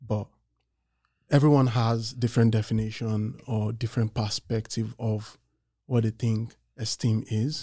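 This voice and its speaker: A somewhat breathy man with a dark, mellow tone speaks at a medium pitch and a fairly slow pace, in a monotone, flat intonation with long, frequent pauses, on a very clean recording with a silent background. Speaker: podcast co-host. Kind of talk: casual chat.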